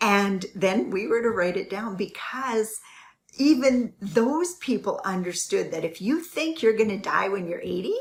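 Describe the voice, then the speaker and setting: A somewhat breathy woman with fairly high pitch and lively intonation, at a fairly slow pace. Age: 60s. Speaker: real estate investing coach. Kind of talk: motivational livestream talk. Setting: live stream. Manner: casual, with frequent fillers.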